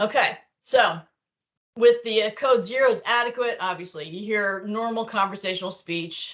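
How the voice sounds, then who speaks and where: A woman with a fairly high pitch, big swings in loudness, ordinary pitch variation and a moderate pace. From New York. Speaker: clinical documentation trainer. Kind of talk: online training lecture. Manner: casual, conversational.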